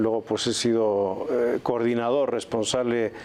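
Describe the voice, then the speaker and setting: A man at medium pitch with a Spanish accent, moderate pace, noticeable background noise. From Spain, Valladolid. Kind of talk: TV interview. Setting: TV studio.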